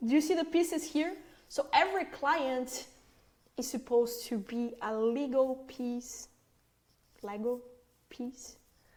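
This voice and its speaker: A woman with a non-native accent and a high pitch talks at a fairly slow pace, with long, frequent pauses and ordinary pitch variation. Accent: foreign. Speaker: agency owner, marketing trainer. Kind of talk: training presentation. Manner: conversational, filler words.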